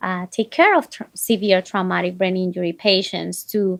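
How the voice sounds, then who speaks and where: With a non-native accent, a woman speaks at a fairly slow pace against a quiet background, the sound dry and close with no echo. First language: not English. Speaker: physician. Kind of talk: interview.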